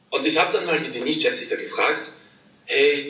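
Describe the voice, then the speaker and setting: A man speaks at a moderate pace. There is audible echo in the room. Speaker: guest. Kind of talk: interview answer. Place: home room. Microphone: video call.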